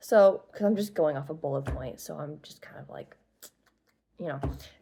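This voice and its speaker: The speaker is a woman. Her voice has vocal fry. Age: young. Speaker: aspiring author, writing vlogger. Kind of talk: casual talk explaining book lore. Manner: halting, many fillers.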